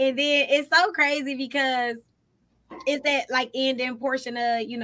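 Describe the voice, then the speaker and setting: A woman speaks in a bright, sharp, animated tone. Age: 30s. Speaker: podcast co-host. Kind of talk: casual chat.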